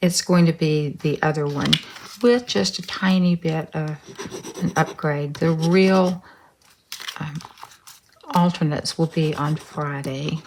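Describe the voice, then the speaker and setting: A woman's fairly low voice at a fairly slow pace, broken by long, frequent pauses. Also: ordinary pitch variation. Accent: Texas. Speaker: craft tutorial host. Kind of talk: tutorial. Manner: casual, hesitant with ums.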